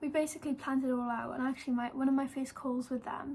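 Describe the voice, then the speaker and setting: The woman's high-pitched voice stays monotone, with flat intonation. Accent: Welsh. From Wales. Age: 18. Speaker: YouTuber and model. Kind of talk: casual vlog storytelling. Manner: chatty with many fillers.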